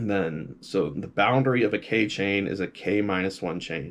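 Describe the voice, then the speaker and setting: Over a quiet background, a man with an ordinary speaking voice talks at a fairly low pitch with ordinary pitch variation. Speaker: graduate student presenting research. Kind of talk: informal lecture. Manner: casual with many fillers.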